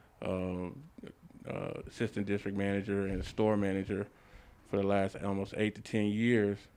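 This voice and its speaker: In a fairly low pitch, a man speaks with monotone, flat intonation. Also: moderate pace. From Los Angeles area, California. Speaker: barber and barbershop owner. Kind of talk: interview. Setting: barbershop. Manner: casual, many fillers.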